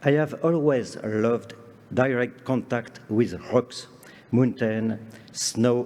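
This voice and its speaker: Very slowly, a man speaks at a medium pitch with a strong French accent. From France, Lake Geneva shore. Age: 60s. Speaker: conference speaker on parks and gardens. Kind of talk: lecture. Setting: stage with audience. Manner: formal.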